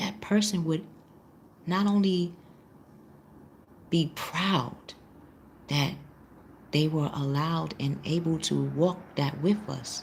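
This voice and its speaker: A soft-spoken, somewhat breathy woman at a very deep, low pitch, with ordinary pitch variation, a very slow pace and long, frequent pauses. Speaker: tarot reader. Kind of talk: live tarot reading class. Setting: live stream.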